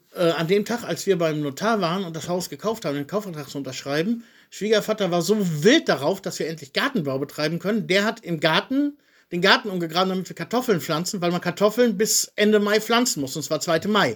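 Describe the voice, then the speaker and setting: On a very clean recording with a silent background, a high-pitched man talks at a fairly quick pace with lively intonation. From Germany, Soest. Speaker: podcast co-host, emigrant. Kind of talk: casual chat. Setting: home recording.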